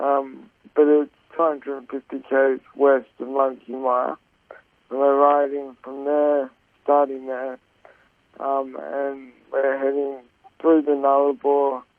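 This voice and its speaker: A man speaks with an Australian accent at a very slow pace, leaving long, frequent pauses. His intonation is monotone and flat, while his loudness swings widely. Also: fairly high pitch for a man. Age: 20s. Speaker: charity cyclist. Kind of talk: radio interview. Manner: halting, many fillers.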